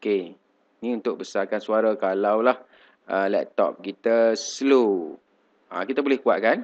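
A man is speaking. His pace is very slow. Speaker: teacher giving tech tutorials. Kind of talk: screen-recorded software tutorial. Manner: casual, many fillers.

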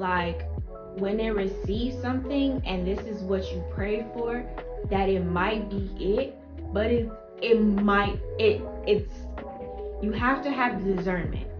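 Against clear music in the background, a woman speaks at a very slow pace with long, frequent pauses. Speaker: YouTuber and mother. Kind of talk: casual talk to camera. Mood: reflective, faith-focused. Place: home room. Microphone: camera far.

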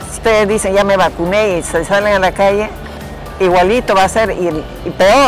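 A woman at medium pitch and moderate pace, fairly even intonation, dry sound with no echo and clear music in the background. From Peru. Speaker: vaccinated senior citizen. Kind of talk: interview answer. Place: hall.

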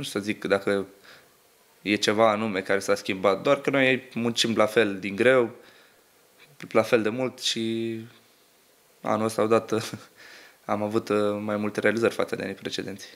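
Monotone and flat, a man speaks at a moderate pace broken by long, frequent pauses. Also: fairly low pitch for a man. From Romania, Constanța; Romania. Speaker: footballer. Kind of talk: interview. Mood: calm, modest. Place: studio. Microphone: studio mic.

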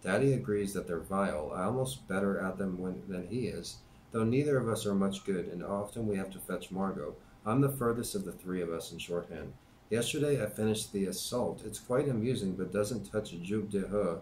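Light background noise sits under a voice that moves at a fairly quick pace with ordinary pitch variation. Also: man, fairly low pitch for a man. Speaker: YouTube channel host reading a book aloud. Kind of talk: reading aloud, diary reading. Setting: home-made video, amateur recording. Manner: conversational, casual commentary between readings, with filler words; plain, steady, unpracticed reading pace with hesitations and stumbles. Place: home room. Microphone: webcam.

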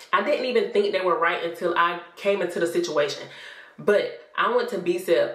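A woman speaks with an American accent at a moderate pace. Room echo is audible. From South Carolina. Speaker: vlogger. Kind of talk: casual vlog talk to camera. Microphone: phone near.

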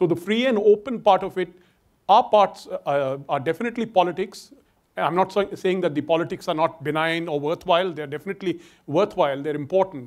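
With an Indian accent, a man talks at a fairly quick pace in a high pitch with ordinary pitch variation over a quiet background. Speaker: security scholar. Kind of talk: panel discussion. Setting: stage with audience. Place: stage. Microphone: lapel.

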